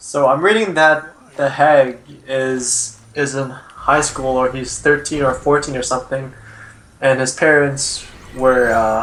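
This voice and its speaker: Against noticeable background noise, a man speaks fairly slowly at a medium pitch with fairly even intonation. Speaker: esports co-caster. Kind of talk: live commentary. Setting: Skype call. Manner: loud.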